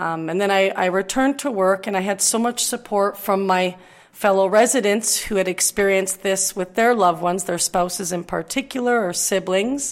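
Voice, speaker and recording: It's an ordinary speaking voice with ordinary pitch variation. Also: woman, medium pitch for a woman, moderate pace. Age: 40s. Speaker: director at a retirement residence. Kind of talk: podcast interview.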